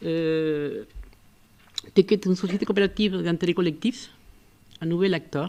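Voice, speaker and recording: The woman's voice has a dark, mellow tone and a fairly low pitch. She speaks at a moderate pace with fairly even intonation. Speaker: architect and urban planner. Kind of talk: public talk.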